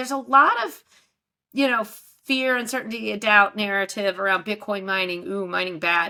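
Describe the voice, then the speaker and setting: The voice has a bright, sharp tone, a slight Texas accent and ordinary pitch variation. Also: woman. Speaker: investment advisor, bitcoin mining expert. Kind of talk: interview.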